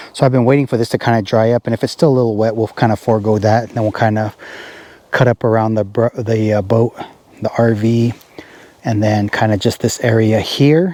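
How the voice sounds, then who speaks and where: Fairly quick delivery with fairly even intonation, a dry, close sound with no echo, and noticeable background noise. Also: man, medium pitch for a man. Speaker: hay farmer and vlogger. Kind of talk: casual farm vlog tutorial. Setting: outdoors in a field by a tractor. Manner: loud, talking over machinery.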